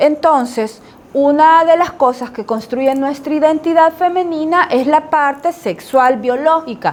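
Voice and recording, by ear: A woman's high-pitched voice, slightly mellow in tone, at a fairly slow pace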